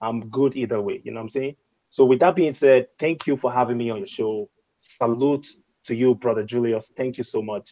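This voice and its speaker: In an African accent, a man talks at a fairly quick pace with a medium pitch, a dark, mellow tone and ordinary pitch variation, the sound dry and close with no echo. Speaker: YouTuber, show guest. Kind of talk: panel discussion on live stream. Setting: video call live stream.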